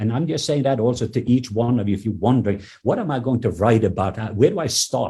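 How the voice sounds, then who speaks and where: Somewhat breathy and dark, mellow in tone, the voice carries a non-native accent. The recording is very clean with a silent background. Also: man. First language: not English. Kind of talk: podcast interview testimony. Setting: in his office. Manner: halting, with fillers and repetitions.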